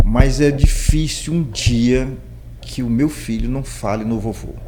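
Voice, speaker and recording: There is noticeable background noise and audible room echo. Through it, a man speaks at a very slow pace. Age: 60s. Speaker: podcast host. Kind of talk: interview.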